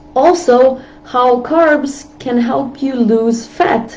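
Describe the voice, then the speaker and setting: The intonation is lively, and noticeable background noise can be heard. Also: woman. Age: 35+. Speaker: health and diet vlogger. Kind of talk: live stream talk. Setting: live video stream.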